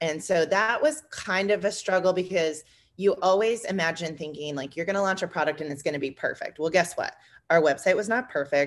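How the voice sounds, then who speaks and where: At a fairly quick pace, a woman speaks at medium pitch. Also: ordinary pitch variation. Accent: US Midwestern. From Indiana, US Midwest. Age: 30s. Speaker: small business co-owner. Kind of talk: podcast interview.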